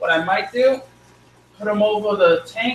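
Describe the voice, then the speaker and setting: Man against noticeable background noise. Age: 20s. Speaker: pet hobbyist youtuber. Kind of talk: live stream tutorial chat. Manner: casual, rambling.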